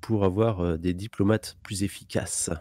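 A man's dark, mellow voice at a very slow pace, dry and close with no echo, on a very clean recording with a silent background. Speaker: gamer playing multiplayer strategy game. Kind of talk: casual gaming chat.

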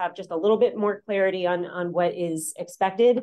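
A woman speaks with fairly even intonation over a quiet background. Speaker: seminar instructor. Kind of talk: announcements. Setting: classroom. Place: classroom.

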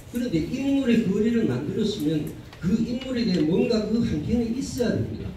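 A man with a Gyeongsang accent speaks at a moderate pace in a high pitch with lively intonation, over noticeable background noise. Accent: Gyeongsang Korean. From Korea, Gyeongbuk region. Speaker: arts association vice president. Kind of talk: forum presentation. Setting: conference hall with audience.

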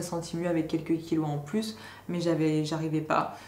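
Audible room echo surrounds a woman speaking with monotone, flat intonation. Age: 20s. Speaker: YouTuber. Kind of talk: vlog monologue. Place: home room.

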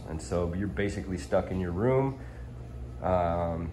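A man's very deep, low voice in a dark, mellow tone, with vocal fry, very wide pitch swings and light background noise. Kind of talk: casual vlog chat. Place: home room. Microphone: phone near.

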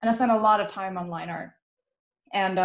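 A somewhat breathy woman with fairly even intonation in audible room echo. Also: quiet background. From Netherlands. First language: Dutch. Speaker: illustrator and panel host; panel host. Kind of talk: casual panel conversation. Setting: pre-recorded online live stream. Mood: reflective, self-deprecating. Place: home room. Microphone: webcam.

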